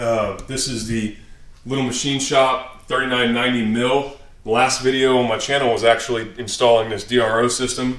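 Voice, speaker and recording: A man talks at a fairly quick pace in a monotone, flat intonation. The room adds an audible echo. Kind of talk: shop tour commentary. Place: garage. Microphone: phone near.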